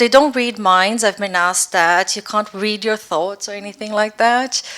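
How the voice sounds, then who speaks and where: A woman speaks with a Brazilian accent. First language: Portuguese. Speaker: neuroscience researcher. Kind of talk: lecture. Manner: clear, careful pace.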